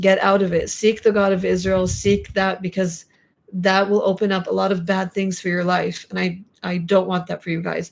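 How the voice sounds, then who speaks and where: A woman's medium-pitched, monotone voice with flat intonation at a moderate pace, in a very clean recording with a silent background. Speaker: YouTuber live streaming with her mother. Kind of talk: live stream chat. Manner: passionate, emphatic.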